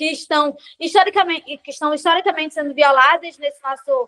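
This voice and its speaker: At a fairly quick pace, a woman with a high pitch speaks in monotone, flat intonation, the sound dry and close with no echo. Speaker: quilombola activist, panel participant. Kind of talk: panel discussion. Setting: video call. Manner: fast.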